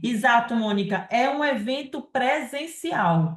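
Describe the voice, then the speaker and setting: A woman's lively intonation carries her words at a very slow pace. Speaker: live session host and moderator. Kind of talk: live Q&A and event announcements. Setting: live stream.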